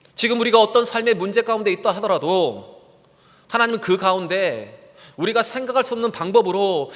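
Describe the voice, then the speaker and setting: Fairly quick speech shows ordinary pitch variation. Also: man. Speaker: pastor. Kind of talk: sermon. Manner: fast.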